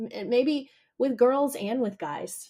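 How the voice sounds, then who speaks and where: At a fairly slow pace, a woman speaks in a normal speaking voice with ordinary pitch variation. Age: 40s. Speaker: podcast host. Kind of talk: interview conversation.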